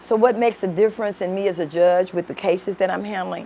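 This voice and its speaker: The speaker has a Memphis accent and a monotone, flat intonation. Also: woman. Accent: Southern US (Memphis). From Memphis, Tennessee (US South). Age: 60s. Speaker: judge. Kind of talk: interview.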